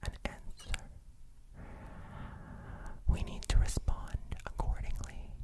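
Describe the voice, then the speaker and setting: Someone whispers in a calm tone against noticeable background noise. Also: man. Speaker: language teacher. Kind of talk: ASMR language lesson. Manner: whispered, calm.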